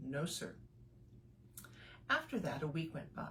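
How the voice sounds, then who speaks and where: Her voice is very deep and low in pitch, somewhat breathy. The woman speaks at a fairly slow pace. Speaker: burlesque and spoken word performance artist. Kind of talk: children's story reading.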